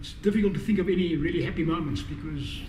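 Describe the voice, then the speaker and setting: A man's voice at a very fast pace, ordinary pitch variation, audible room echo and noticeable background noise. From South Africa. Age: 50s. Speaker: thought leader and professional speaker. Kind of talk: interview storytelling.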